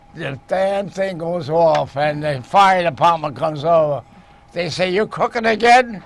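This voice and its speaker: A man speaks with a high-pitched voice and ordinary pitch variation. Noticeable background noise runs underneath. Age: 90s. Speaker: TV cooking show host. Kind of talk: casual chat. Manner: halting; animated.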